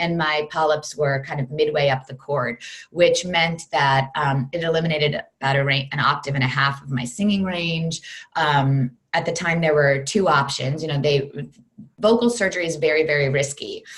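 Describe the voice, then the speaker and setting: A woman talks in a very deep, low voice that is somewhat breathy. She keeps a moderate pace with ordinary pitch variation. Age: 40s. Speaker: fitness program creator, former Broadway performer. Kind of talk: interview. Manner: talkative.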